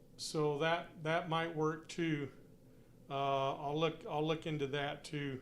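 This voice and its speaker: A man's monotone, flat delivery at a very slow pace, with audible room echo. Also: fairly high pitch for a man. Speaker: hobbyist live streamer. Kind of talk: casual live stream chat. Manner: loud; halting.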